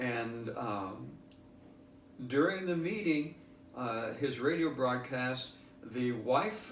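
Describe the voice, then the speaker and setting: A man's voice at a medium pitch with ordinary pitch variation, over noticeable background noise. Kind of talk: interview answer.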